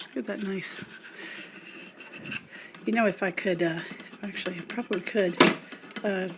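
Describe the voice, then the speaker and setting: A woman at medium pitch speaks over noticeable background noise. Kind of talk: casual DIY tutorial talk to camera. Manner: casual, rambling, hesitant.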